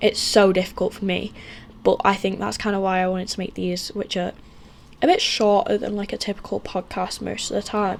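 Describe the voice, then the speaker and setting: With a British accent, a woman talks at a fairly quick pace against noticeable background noise. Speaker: book vlogger. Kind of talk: casual chat. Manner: very fast; animated. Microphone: poor camera recording quality.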